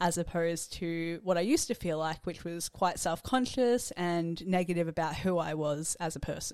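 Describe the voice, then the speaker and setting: On a very clean recording with a silent background, a woman with an Australian accent talks at a moderate pace, fairly low in pitch with ordinary pitch variation. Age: 20s. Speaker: student. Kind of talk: interview answers.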